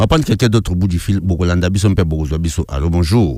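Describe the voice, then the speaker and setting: A man speaks at a very fast pace in an animated tone, his pitch varying an ordinary amount. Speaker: radio host. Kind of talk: live call-in radio show.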